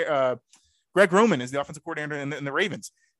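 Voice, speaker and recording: Very fast and bright with a sharp edge, a man speaks with ordinary pitch variation. The sound is dry and close, with no echo. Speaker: sports podcast host. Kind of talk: casual sports podcast chat. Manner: fast talker.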